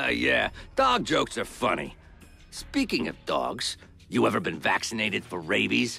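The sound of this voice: Faint music plays in the background as a man does a cartoonish character voice at a fairly slow pace, with vocal fry, big pitch swings, and a bright, sharp tone. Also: medium pitch for a man.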